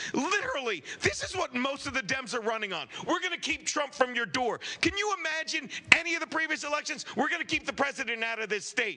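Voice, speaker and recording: Over noticeable background noise, a man speaks in a raised, projected voice at a very fast pace. His pitch is extremely high and his intonation lively. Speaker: comedian and podcaster. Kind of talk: casual comedic podcast banter. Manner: loud; animated.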